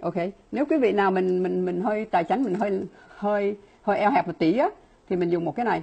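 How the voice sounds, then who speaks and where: The woman's speech has lively intonation. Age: 60s. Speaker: laboratory scientist and supplement distributor; presenter. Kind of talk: product presentation. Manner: fast talker; filler-heavy, halting. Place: home room. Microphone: earbuds.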